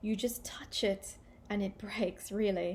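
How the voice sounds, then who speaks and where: A woman speaks with an Australian accent. Her voice is somewhat breathy. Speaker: English teacher. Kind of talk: language-learning listening practice talk. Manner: clear, measured. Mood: friendly, cheerful. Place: home room. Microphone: webcam.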